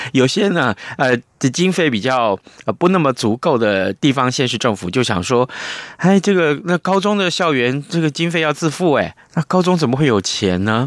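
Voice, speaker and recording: A man with a fairly high voice speaks at a moderate pace, his pitch swinging very widely, in a dry, close recording with no echo. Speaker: radio host. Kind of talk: radio interview and news review. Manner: animated, expressive.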